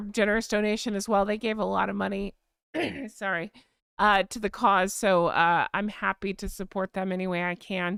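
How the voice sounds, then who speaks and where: A woman speaks with an American accent. The recording is very clean and dry, close with no echo and a silent background. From Florida, US South. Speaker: YouTube channel host. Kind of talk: casual live stream chat. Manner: fast.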